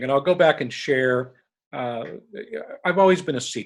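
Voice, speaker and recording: With an American accent and lively intonation, a man talks at a fairly high pitch in a normal speaking voice. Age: 60s. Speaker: leadership recruiter. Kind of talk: podcast interview.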